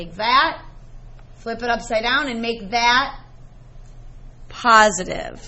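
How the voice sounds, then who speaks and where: A woman talks at a fairly slow pace, with audible echo from the room. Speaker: math teacher. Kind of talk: classroom lecture.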